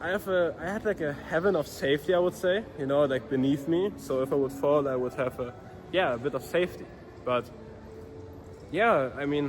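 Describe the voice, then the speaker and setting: A man talks at a fairly quick pace with a fairly high pitch. His pitch variation is ordinary. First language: not English. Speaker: vlogger, dropshipping entrepreneur. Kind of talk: casual vlog monologue. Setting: outdoors. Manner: halting, many fillers and restarts.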